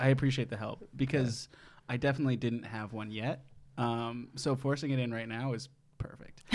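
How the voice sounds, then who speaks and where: A man with an American accent talks at a moderate pace in a medium pitch. He has an ordinary speaking voice and fairly even intonation. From Wisconsin, Madison. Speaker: game show podcast host. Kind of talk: casual chat.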